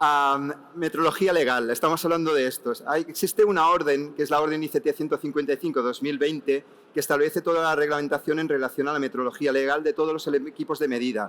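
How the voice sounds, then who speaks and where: Talking at a very fast pace, this man has a fairly high voice and fairly even intonation. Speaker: technical association expert panelist. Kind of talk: panel discussion answer.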